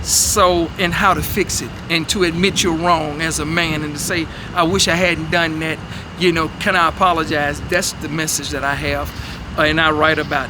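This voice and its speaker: Fairly high male pitch with fairly even intonation, amid audible room echo and noticeable background noise. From US South, Memphis. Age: 60s. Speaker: soul singer. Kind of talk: interview.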